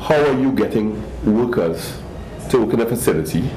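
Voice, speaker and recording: A man's lively intonation at a moderate pace, with noticeable background noise. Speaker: fashion designer. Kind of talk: interview. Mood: concerned, earnest. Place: shop.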